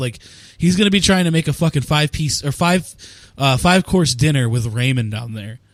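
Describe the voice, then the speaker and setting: Over noticeable background noise, a man talks at a fairly quick pace. His fairly high voice has lively intonation. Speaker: sports podcast host. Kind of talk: casual chat.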